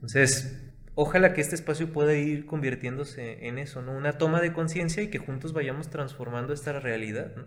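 Audible room echo carries a man's somewhat breathy, fairly high-pitched voice as he talks at a moderate pace with fairly even intonation. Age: 20s. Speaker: consultant and entrepreneur. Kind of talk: casual chat.

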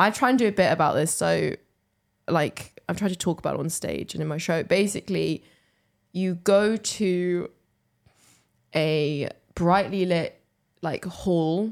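A woman with an English accent on a very clean recording with a silent background. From England. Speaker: comedian and podcast co-host. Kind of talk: casual chat. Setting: comedy club recording.

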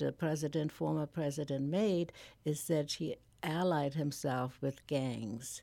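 In a very clean recording with a silent background, a woman with a German accent speaks at a fairly slow pace in a very deep, low pitch, with a dark, mellow tone and ordinary pitch variation. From Germany. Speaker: nonprofit founder. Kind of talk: radio interview. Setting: studio.

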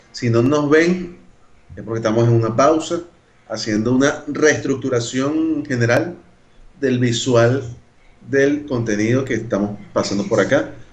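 Long, frequent pauses break up a man's speech at a medium pitch with ordinary variation, heard with audible room echo. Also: fairly slow pace. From Venezuela, Caracas (Caricuao). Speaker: podcast co-host. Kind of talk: casual chat.

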